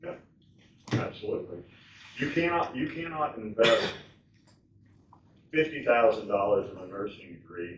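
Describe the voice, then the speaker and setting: Audible room echo surrounds the man talking. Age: 70s. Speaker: retired nurse speaking at public meeting. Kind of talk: public comment at county board meeting.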